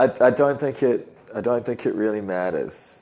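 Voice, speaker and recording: A man with a New Zealand accent speaks at a moderate pace and medium pitch, with ordinary pitch variation and a dark, mellow tone. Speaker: podcast host and musician. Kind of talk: casual chat.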